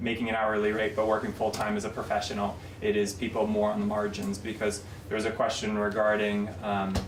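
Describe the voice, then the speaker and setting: Amid audible room echo and noticeable background noise, a man speaks fairly quickly in a fairly low voice, with very even loudness and monotone, flat intonation. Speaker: state labor market economist. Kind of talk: legislative committee testimony. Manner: fast.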